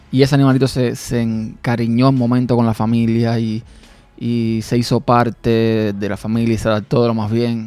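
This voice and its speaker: Here a man talks at a moderate pace with a medium pitch and a dark, mellow tone. His intonation is monotone and flat. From Cuba, rural village. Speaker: podcast host. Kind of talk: personal monologue. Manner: hesitant, with fillers and repetitions.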